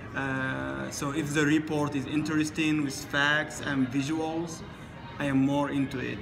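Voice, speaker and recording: This man speaks with an Arabic accent at a fairly slow pace, his pitch fairly high and his intonation monotone and flat. Noticeable background noise and audible room echo fill the recording. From Sudan. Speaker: international student. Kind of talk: interview. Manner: halting.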